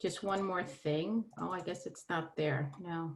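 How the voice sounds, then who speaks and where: With a New York accent, a woman talks at a fairly low pitch in a very clean recording against a silent background. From New York City (Brooklyn). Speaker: holistic therapist. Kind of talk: presentation.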